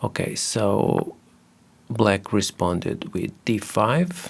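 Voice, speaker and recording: A man with a non-native accent, very slow in pace, with very wide pitch swings. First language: not English. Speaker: chess video creator. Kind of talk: game analysis commentary. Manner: hesitant, many fillers.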